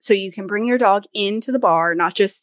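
A woman's ordinary speaking voice, fairly quick and lively in intonation, with a dry, close sound, no echo and a quiet background. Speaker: podcaster and business owner. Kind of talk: casual interview chat.

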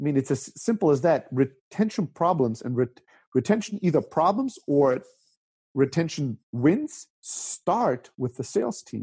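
A man's somewhat breathy, dark, mellow voice at a fairly high pitch, with lively intonation and a fairly slow pace, in a dry, close sound with no echo and a quiet background. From Germany (Greek origin). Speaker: startup CEO and co-founder. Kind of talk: interview.

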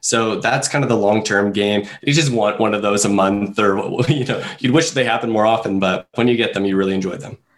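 Speaking at a fairly quick pace with an ordinary speaking voice, a man with a Canadian accent talks at a fairly low pitch with ordinary pitch variation. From Canada. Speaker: online marketing manager. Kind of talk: interview.

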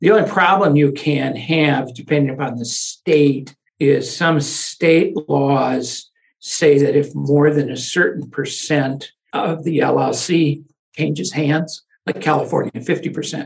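Speaking at a very slow pace, a man with vocal fry holds a fairly high pitch and fairly even intonation. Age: 70s. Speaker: lawyer. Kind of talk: interview.

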